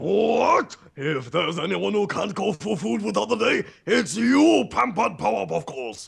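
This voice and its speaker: A man speaks in a put-on character voice with a high pitch. His pace is moderate, with hardly any pauses. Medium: game stream. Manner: pompous, speaks of himself in third person.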